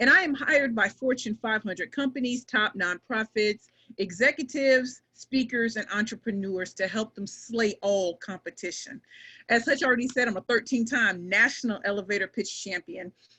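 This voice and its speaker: A woman speaks at a fairly high pitch. Her pace is moderate, with ordinary pitch variation. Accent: American. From US Midwest, inner-city St. Louis, Missouri. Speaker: pitch coach and professional speaker. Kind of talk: webinar presentation. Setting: online webinar. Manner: energetic.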